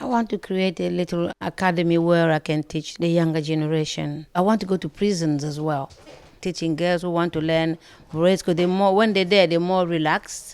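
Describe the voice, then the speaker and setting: A woman in a normal speaking voice talks at a moderate pace with a fairly low pitch. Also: fairly even intonation. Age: 60s. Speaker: braiding salon owner. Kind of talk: interview.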